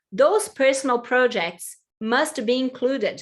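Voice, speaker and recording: With a Portuguese accent, a woman speaks fairly slowly at a high pitch, her intonation lively. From Brazil. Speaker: employment consultant. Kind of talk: webinar presentation.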